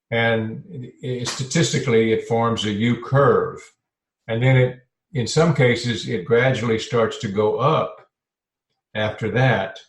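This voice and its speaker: A man at a medium pitch with fairly even intonation, fairly slow and with long, frequent pauses, music playing behind him. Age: 70s. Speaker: health and life transition coach. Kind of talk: podcast interview. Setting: podcast. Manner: halting, with fillers.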